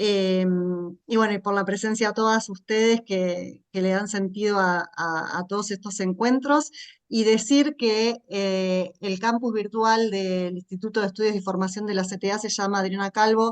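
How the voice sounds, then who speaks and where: A woman with an unremarkable speaking voice at medium pitch talks at a fairly slow pace with fairly even intonation. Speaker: course moderator. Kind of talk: closing remarks.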